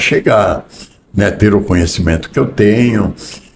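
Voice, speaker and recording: Noticeable background noise around a man's fairly slow delivery. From southern Brazil, Rio Grande do Sul. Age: 60s. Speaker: business executive. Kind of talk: interview.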